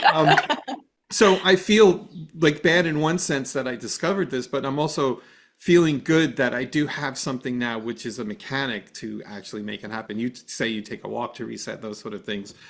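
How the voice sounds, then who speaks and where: On a very clean recording with a silent background, a man in a plain, everyday voice talks at a medium pitch and fairly quick pace, his intonation lively and his loudness swinging widely. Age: 60s. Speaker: podcast host. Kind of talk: podcast interview.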